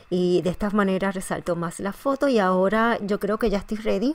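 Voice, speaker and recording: A woman talks at a very fast pace. Her pitch sits in the middle range, and her intonation stays fairly even. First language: Spanish. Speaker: scrapbooking tutorial host. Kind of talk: tutorial. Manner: halting, with frequent fillers and restarts.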